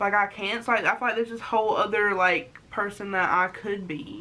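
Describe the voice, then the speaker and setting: Bright and sharp in tone, a woman speaks at a medium pitch. She moves at a fairly quick pace with ordinary pitch variation. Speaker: vlogger. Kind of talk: casual chat. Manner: halting.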